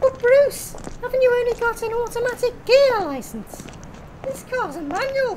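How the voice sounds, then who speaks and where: Over clear background noise, a woman does a put-on character voice at an extremely high pitch, with ordinary pitch variation and a moderate pace. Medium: audio drama. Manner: brisk and breezy.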